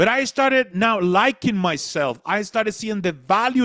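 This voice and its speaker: Lively intonation marks a man with a Spanish accent who speaks at a moderate pace and a high pitch. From Latin America. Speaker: motivational speaker. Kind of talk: motivational talk.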